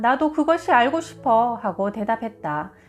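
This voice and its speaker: A plain, everyday voice from a woman, fairly high in pitch, with lively intonation at a fairly slow pace. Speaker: audiobook reader, publisher. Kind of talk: book reading, health narration.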